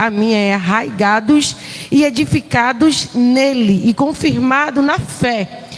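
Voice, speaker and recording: A woman's high-pitched voice with very wide pitch swings, amid noticeable background noise. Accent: Pernambuco. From Pernambuco, northeastern Brazil. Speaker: visiting preacher, missionary. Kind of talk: sermon. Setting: church.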